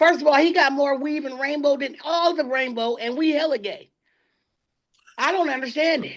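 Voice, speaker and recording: Loud and animated, a woman talks at a moderate pace with a high pitch and ordinary pitch variation. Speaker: podcast co-host. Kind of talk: casual chat.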